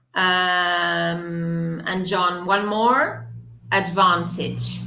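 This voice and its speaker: With audible room echo, a woman speaks at a very slow pace in a fairly low pitch with a bright, sharp tone. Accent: British. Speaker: English teacher. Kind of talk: live online pronunciation lesson. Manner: slow, repeating words for clarity.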